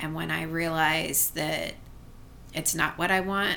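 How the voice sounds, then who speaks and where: A woman talks at a fairly slow pace, and room echo is audible. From Asheville, North Carolina. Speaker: podcast co-host and teacher. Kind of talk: casual chat.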